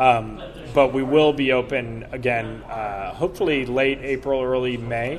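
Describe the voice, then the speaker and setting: A man's medium-pitched voice at a fairly slow pace, fairly even in intonation, with music in the background. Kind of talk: interview, casual chat. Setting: convention, recorded at a comic con.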